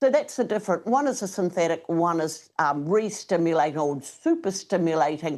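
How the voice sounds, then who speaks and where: With a New Zealand accent, a woman speaks at a moderate pace with lively intonation and a fairly low pitch over a quiet background. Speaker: product spokesperson. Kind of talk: interview.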